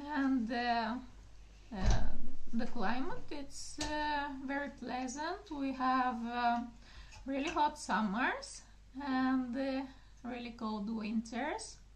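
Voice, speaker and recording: A woman with a high pitch and ordinary pitch variation speaks at a very slow pace, leaving long, frequent pauses. Audible room echo surrounds her voice. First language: Bulgarian. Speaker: gardening channel host. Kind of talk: casual video talk. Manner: halting, many fillers.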